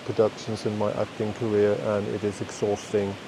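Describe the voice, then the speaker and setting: Speaking at a moderate pace with a Danish accent, a man uses a medium pitch over noticeable background noise. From Denmark. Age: 50s. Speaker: podcast host. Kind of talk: unscripted monologue. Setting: outdoors in a forest. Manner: rambling, self-correcting.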